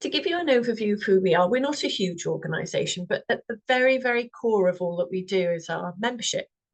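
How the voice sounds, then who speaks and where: Her pitch fairly high, a woman talks at a very fast pace with hardly any pauses. Her intonation is lively. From Wales. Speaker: representative of a standards organisation. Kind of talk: webinar presentation.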